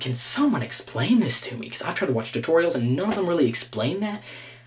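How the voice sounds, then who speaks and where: Amid noticeable background noise, a man speaks at a very fast pace with ordinary pitch variation. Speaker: gaming vlogger. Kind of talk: casual rant to camera. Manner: halting, stammering repeats.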